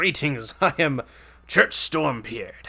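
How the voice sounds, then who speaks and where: Put-on character voice from a man, pitched fairly high. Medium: actual play. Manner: sincere, slightly rambling.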